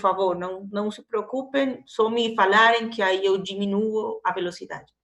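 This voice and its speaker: Ordinary pitch variation in a woman's voice over a quiet background. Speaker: university lecturer. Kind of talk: online lecture.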